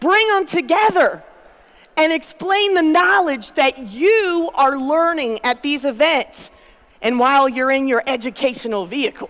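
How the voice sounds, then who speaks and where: A woman speaks loudly at a fairly slow pace, her tone animated. Her high pitch swings very widely. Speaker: conference speaker. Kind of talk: motivational keynote talk. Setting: stage with audience.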